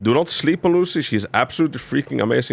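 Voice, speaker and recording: Over music in the background, a man speaks with lively intonation and a non-native accent. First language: not English. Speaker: gaming video creator. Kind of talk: game guide tutorial with gameplay commentary. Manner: halting, repeats words.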